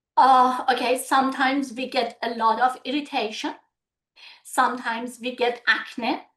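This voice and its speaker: A woman with a Persian accent talks at a fairly slow pace in a high pitch. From Iran. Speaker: medical aesthetician. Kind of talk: webinar Q&A. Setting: video webinar.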